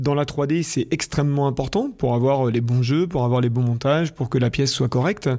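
Dark and mellow in tone, a man talks at a moderate pace with hardly any pauses. His loudness stays very even and his pitch varies in an ordinary way. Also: medium pitch for a man. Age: 40s. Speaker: podcast host. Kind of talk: interview.

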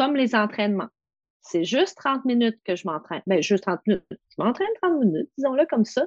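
Talking at a fairly quick pace, a woman uses a fairly high pitch with very wide pitch swings. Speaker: massage therapist and confidence coach. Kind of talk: casual interview.

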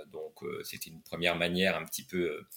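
A man is speaking. His pace is fairly quick. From France, Nancy. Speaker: writer and tennis club director. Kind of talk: interview conversation. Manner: halting, many hesitations.

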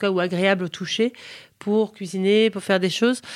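A woman talks fairly quickly, keeping her intonation fairly even. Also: very clean recording, silent background. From United States (ages 7 to 21), French-speaking home. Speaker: food and lifestyle content creator. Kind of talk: interview conversation. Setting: hotel recording. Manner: hesitant, many repetitions and fillers.

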